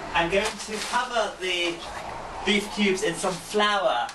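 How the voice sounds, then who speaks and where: A man's voice with ordinary pitch variation, audible room echo, and noticeable background noise. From England. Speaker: cooking video host. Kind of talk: cooking tutorial.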